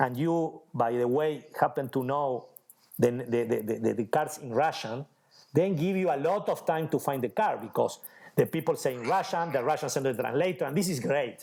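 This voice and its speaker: The speaker has an Argentine accent, heard in a very clean recording with a silent background. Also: man, fairly high pitch for a man, ordinary pitch variation, moderate pace. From Argentina. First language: Spanish. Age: 40s. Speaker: magician. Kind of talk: interview conversation. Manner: halting, searching for words.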